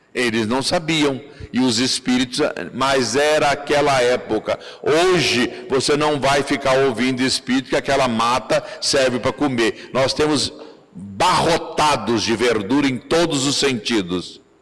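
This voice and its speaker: Music plays in the background as a man speaks at a fairly slow pace. His pitch is medium, with ordinary variation. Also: very even loudness. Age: 70s. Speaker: spiritist lecturer. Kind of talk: lecture.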